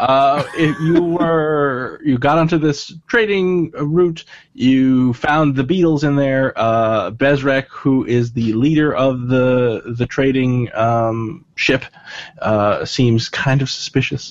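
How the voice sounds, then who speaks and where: Speaking at a very slow pace, this man has a fairly high pitch. His loudness stays very even, with ordinary pitch variation. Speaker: dungeon master. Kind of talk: casual tabletop roleplaying game chat.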